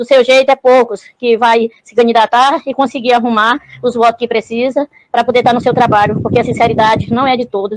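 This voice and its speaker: A woman talks at a moderate pace with a high pitch and fairly even intonation. The sound is dry and close, with no echo. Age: 60s. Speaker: caller. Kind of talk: call-in message.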